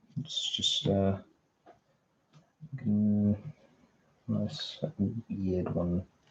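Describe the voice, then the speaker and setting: With lively intonation and a somewhat breathy sound, a man talks very slowly. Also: long, frequent pauses, big swings in loudness. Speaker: streamer. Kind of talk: casual livestream talk. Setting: livestream. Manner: halting.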